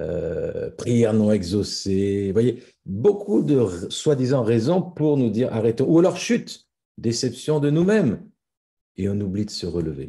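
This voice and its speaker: A man talks at medium pitch in a dark, mellow, somewhat breathy tone. He goes at a fairly slow pace with very wide pitch swings. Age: 60s. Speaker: pastor. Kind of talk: sermon.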